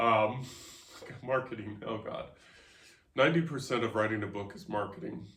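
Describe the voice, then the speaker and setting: There are big swings in loudness and long, frequent pauses as this man speaks at a medium pitch with ordinary pitch variation. Room echo is audible. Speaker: podcast host and author. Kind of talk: casual chat. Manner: fast.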